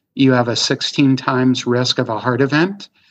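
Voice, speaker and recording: At a fairly slow pace, a man talks in an unremarkable speaking voice of medium pitch. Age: 50s. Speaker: health coach, guest recovered from chronic illness. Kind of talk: interview conversation.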